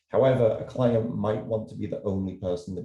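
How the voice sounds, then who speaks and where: The voice is somewhat breathy and dark, mellow in tone, moving at a fairly quick pace with ordinary pitch variation. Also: man. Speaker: illustrator and art professor. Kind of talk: virtual presentation. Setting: video call. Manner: fast.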